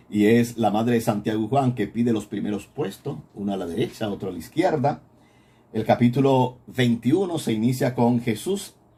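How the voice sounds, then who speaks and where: Somewhat breathy and dark, mellow in tone, a man speaks at a medium pitch and moderate pace with ordinary pitch variation. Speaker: priest teaching a Bible course. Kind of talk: recorded Bible lecture.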